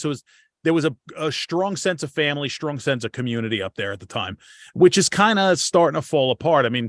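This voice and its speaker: A man with a New York accent speaks at a very fast pace. The sound is dry and close with no echo, over a quiet background. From Long Island, New York. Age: 40s. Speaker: podcast host. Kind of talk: casual chat.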